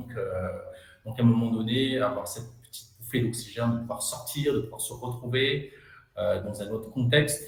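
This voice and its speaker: A man speaks at medium pitch with audible room echo. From Madagascar. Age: young. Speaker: entrepreneur. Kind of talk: interview. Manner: hesitant, many fillers.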